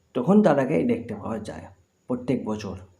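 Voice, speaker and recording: There is audible room echo around a man whose dark, mellow tone sits at a fairly high pitch. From West Bengal, Bardhaman. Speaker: vlogger. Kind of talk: casual vlog narration.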